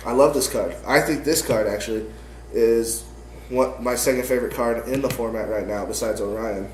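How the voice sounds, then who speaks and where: Noticeable background noise runs through the clip. The man's pace is fairly quick. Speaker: card game player. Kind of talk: casual deck profile talk to camera.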